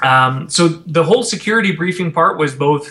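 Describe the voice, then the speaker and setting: Bright, sharp tone from a man with a Canadian accent and lively intonation. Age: 30s. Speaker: expat parent. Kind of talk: interview. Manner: halting, many fillers.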